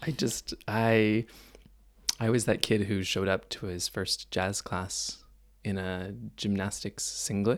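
This speaker, with a Canadian accent, goes at a very slow pace with fairly even intonation. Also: man, fairly low pitch for a man. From Canada, Mississauga near Toronto. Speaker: dancer. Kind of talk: interview conversation. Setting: cabin on tour.

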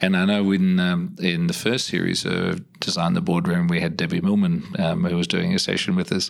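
With an Australian accent, a man speaks with hardly any pauses. His loudness stays very even. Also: moderate pace. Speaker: podcast host. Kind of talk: interview conversation.

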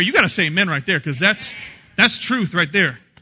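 Over a quiet background, a man with a high pitch uses a raised, projected voice, bright, sharp tone and animated delivery at a very fast pace, with very wide pitch swings. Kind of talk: sermon, preacher in full flow with live congregation. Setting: church with live congregation. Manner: animated, call-and-response, punchy and joking; warm, jokey, laughs while preaching.

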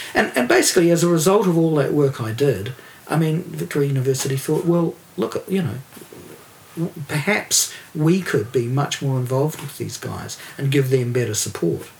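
Amid noticeable background noise, a man with a New Zealand accent speaks at a moderate pace, using a fairly high pitch and lively intonation. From New Zealand, Dunedin. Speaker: record producer and label owner. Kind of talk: casual chat.

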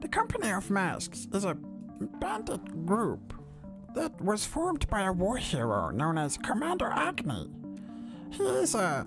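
A put-on character voice delivers the lines at a fairly slow pace. Loud music plays in the background. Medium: actual play. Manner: polite, earnest, slightly rambling.

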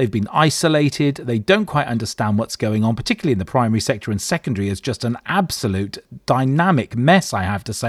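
Very wide pitch swings mark a man's animated voice, delivered at a very fast pace on a very clean recording with a silent background. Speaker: radio host. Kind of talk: live educational radio show. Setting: studio.

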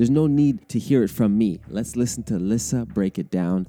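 With a Canadian accent, a man speaks at a fairly quick pace in a fairly low, dark, mellow voice. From Canada. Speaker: podcast host. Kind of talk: casual chat.

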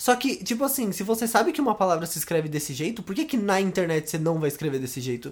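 Hardly any pauses break up the talk. It goes by at a very fast pace. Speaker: podcast co-host. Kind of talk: casual chat.

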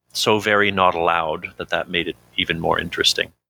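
A man with a very deep, low pitch, a bright, sharp tone and monotone, flat intonation, in a Canadian accent, with a dry, close sound and no echo. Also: very clean recording, silent background. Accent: English-speaking Canadian. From Canada. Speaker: recovering addict. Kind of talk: interview testimony. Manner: halting.

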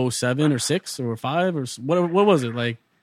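With ordinary pitch variation, a man talks at a fairly high pitch in an unremarkable speaking voice.

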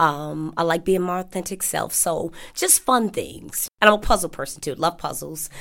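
A woman with an American accent, medium pitch and moderate pace. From Chicago. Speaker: dining hall cashier. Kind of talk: interview. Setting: sit-down interview.

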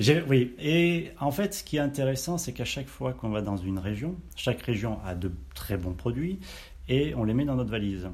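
Very wide pitch swings from a man whose voice is somewhat breathy. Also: medium pitch for a man, moderate pace. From Auvergne, France. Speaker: chef. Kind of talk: casual interview. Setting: on location at caviar farm.

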